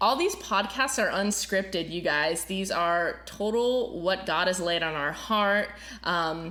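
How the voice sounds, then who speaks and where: Speaking at a fairly slow pace, a woman has a bright, sharp tone. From Florida. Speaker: podcast host and worship pastor. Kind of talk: casual chat. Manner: many filler words.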